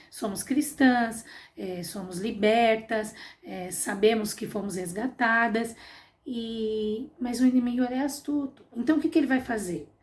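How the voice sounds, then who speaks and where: A woman has a normal speaking voice with a fairly high pitch and lively intonation. She talks fairly slowly, with big swings in loudness. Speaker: Sunday school teacher. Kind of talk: Bible class lesson.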